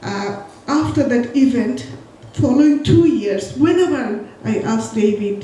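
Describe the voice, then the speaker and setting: Over noticeable background noise and audible room echo, a woman with a Bengali accent speaks at a fairly slow pace with lively intonation. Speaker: poet. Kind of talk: spoken tribute at a memorial event.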